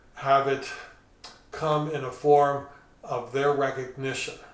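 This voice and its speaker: Amid noticeable background noise and audible room echo, a man speaks at a fairly high pitch and a fairly slow pace in a monotone, flat intonation. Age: 60s. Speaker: pastor. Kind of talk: sermon. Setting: recorded at home.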